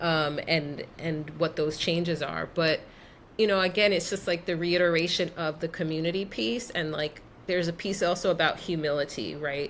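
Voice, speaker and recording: In a New York accent, a woman speaks at a moderate pace with fairly even intonation. Her pitch is fairly low. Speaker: expat, travel guest. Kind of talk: casual interview chat.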